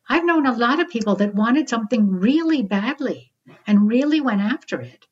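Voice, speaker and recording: A woman speaks at a moderate pace in a high pitch that makes very wide swings. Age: 60s. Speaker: psychologist and author. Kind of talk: interview.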